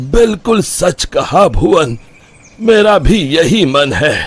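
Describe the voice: A man puts on a cartoonish character voice at a fairly high pitch with a slightly husky edge. He speaks slowly, with big pitch swings.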